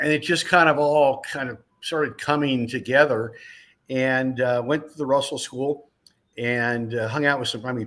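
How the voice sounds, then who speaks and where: At a moderate pace, this is an ordinary speaking voice with fairly even intonation. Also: man, medium pitch for a man. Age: 60s. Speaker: racing driver turned motorsports broadcaster. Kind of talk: interview. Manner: casual, conversational.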